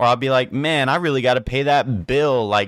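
A man speaks in a normal speaking voice. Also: very clean recording, silent background. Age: 20s. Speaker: podcast host. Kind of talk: casual monologue.

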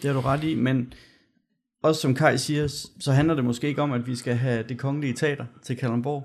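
Fairly quick and monotone, a man speaks with flat intonation at a medium pitch. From Denmark, Gørlev. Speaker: podcast host, local election candidate. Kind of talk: casual podcast chat. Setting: studio.

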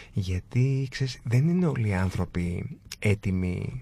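Somewhat breathy, with a dark, mellow tone, a man speaks at a fairly low pitch. His intonation is lively. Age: 40s. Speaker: design entrepreneur. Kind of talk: casual interview.

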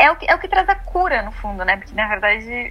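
The speaker uses a normal speaking voice with ordinary pitch variation at a fairly quick pace. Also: woman. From southern Brazil (Rio Grande do Sul). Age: 20s. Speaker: astrologer. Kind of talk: casual chat.

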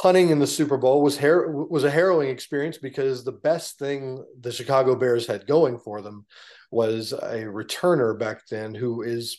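A man with an American accent talks at a fairly quick pace in an ordinary speaking voice of medium pitch with ordinary pitch variation. The background is quiet. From Texas. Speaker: former NFL punter and political candidate. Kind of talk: interview.

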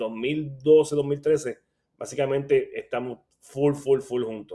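A man speaks at a fairly slow pace. His voice has a medium pitch and a dark, mellow tone. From Puerto Rico, Caguas. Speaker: boxing analyst and blogger. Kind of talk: casual chat.

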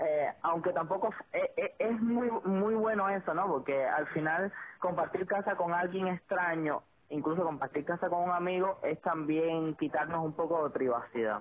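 A woman's fairly low voice at a moderate pace, very even in loudness, with ordinary pitch variation and noticeable background noise. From Cuba. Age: 20s. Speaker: podcast host. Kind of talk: casual chat. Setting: phone call.

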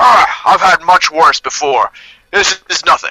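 A man uses a put-on character voice, gruff and high in pitch. He talks at a fairly slow pace. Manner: gruff, grunting.

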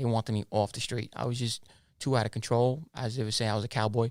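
On a very clean recording with a silent background, a man talks at a medium pitch. His speech is very fast and monotone, with flat intonation. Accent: American. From Brooklyn and Queens, New York. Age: 30s. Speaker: ex-mobster.

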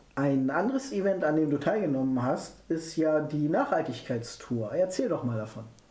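A fairly high-pitched man speaks at a moderate pace with lively intonation and hardly any pauses. Noticeable background noise and audible room echo fill the recording. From near Hannover, Germany. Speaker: podcast host. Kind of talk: interview.

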